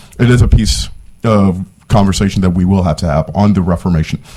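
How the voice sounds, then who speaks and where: Over noticeable background noise, a man with a very deep, low pitch speaks at a fairly quick pace with lively intonation. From Haiti. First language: Haitian Creole or French. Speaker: policy advocate testifying at hearing. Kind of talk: committee testimony. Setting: state senate committee hearing.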